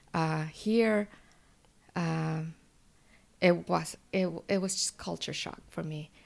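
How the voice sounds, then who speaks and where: A woman with a Spanish accent and a fairly low pitch, at a very slow pace with long, frequent pauses. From Mexico, moved to Washington State at 12. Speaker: local politician. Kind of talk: interview. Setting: library. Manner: halting, many fillers.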